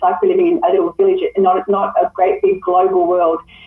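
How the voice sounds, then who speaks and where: A woman talks at a fairly quick pace with lively intonation. Music plays in the background. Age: 60s. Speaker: network marketing presenter. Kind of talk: sales pitch.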